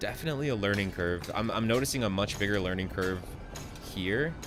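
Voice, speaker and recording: A man's fairly low, lively voice at a fairly quick pace, with music in the background and audible room echo. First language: not English. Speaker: gaming streamer. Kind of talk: live gameplay commentary.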